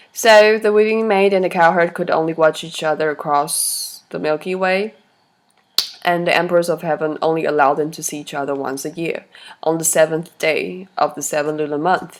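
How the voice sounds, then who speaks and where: A woman talks at a moderate pace with a fairly low pitch and ordinary pitch variation. Her loudness swings widely. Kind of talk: story reading.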